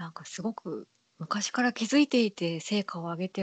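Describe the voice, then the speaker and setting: A woman's voice comes across somewhat breathy, with ordinary pitch variation. The sound is dry and close, with no echo. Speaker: podcast host. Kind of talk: casual chat.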